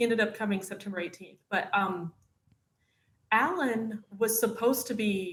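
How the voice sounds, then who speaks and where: The speaker has a northern Florida accent. The pace is moderate. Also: woman. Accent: Southern US (northern Florida). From northern Florida, US South. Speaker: wife of an actor, mother. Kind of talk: casual interview chat.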